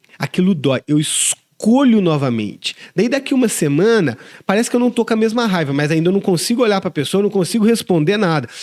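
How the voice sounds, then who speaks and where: Pitch swings very widely as the talk moves along at a fairly quick pace. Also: man, high pitch for a man. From Brazil, southern Minas Gerais. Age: 40s. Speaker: pastor. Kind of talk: interview.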